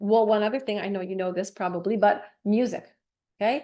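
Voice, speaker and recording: A woman's animated voice at medium pitch, against a quiet background. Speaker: motivational speaker. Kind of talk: presentation to a group. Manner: fast.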